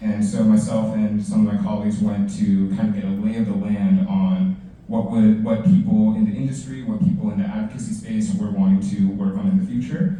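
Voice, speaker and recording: The voice has a dark, mellow tone and is somewhat breathy, with very wide pitch swings. Room echo is audible. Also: man. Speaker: city council staff panelist. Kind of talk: career panel presentation. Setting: library event with audience. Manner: fast.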